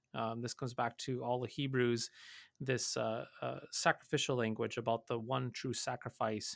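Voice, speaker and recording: Speaking with an Upper Midwest accent, a man uses a medium pitch, moderate pace and flat, monotone intonation. The very clean recording has a silent background and a dry, close sound with no echo. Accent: Upper Midwest American. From North Dakota. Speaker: pastor. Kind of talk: radio Bible study discussion. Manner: halting, many fillers and repeats.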